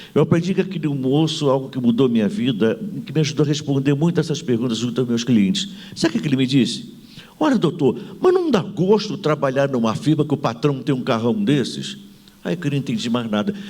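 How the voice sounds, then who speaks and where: Over noticeable background noise, a man with a fairly high pitch speaks at a fairly quick pace in an animated tone with lively intonation. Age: 70s. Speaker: management consultant and author. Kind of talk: panel talk with anecdote. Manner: animated, humorous storytelling.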